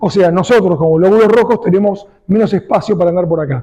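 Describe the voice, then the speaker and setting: A man talks at a very fast pace with a high pitch and ordinary pitch variation. His tone is dark and mellow. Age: 60s. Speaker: cardiologist. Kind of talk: lecture.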